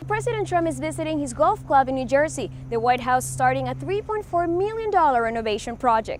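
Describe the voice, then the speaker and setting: A woman talks at a moderate speed as music plays behind her. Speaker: TV news reporter. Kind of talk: TV news report.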